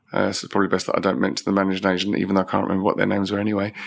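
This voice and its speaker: Very fast and monotone, with flat intonation, a man speaks in a London accent at a fairly low pitch. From East London (Isle of Dogs). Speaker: facilities and estate management director. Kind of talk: interview.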